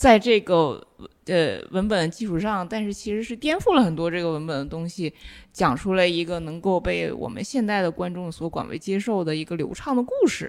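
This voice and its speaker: With a plain, everyday voice, a woman of fairly low pitch speaks at a moderate pace with lively intonation on a very clean recording with a silent background. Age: young. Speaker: film and media researcher. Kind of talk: casual chat.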